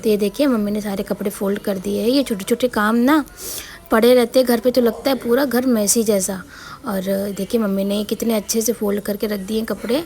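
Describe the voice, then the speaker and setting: A woman speaks at a moderate pace. Background noise is noticeable behind her. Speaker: home vlogger, housewife and mother. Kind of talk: casual vlog narration.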